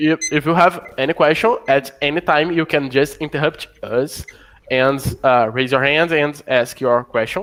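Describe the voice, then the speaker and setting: Fairly high for a man, this voice keeps very even loudness at a fairly slow pace with ordinary pitch variation. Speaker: programmer. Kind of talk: casual chat. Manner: halting.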